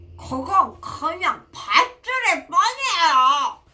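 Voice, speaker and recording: A put-on character voice with an extremely high pitch and very wide pitch swings moves at a very slow pace. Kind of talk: read-aloud children's story with commentary. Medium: read story.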